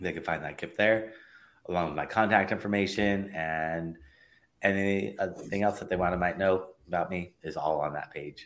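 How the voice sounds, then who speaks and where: Very deep and low, a man's voice moves at a moderate pace. His intonation stays fairly even. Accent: Californian. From Los Angeles, US. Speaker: digital marketing consultant. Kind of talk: interview.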